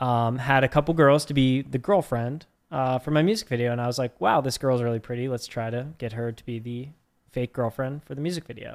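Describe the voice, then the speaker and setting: A man in a normal speaking voice, medium pitch, fairly even intonation, fairly quick pace, very clean recording with a silent background. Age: 30s. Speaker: podcast co-host, musician. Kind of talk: casual chat.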